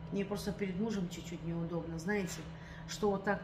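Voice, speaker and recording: The speaker is a woman. Some faint background noise is present. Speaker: vlogger. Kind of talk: casual vlog chat. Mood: aggrieved, complaining. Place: home room. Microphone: phone near.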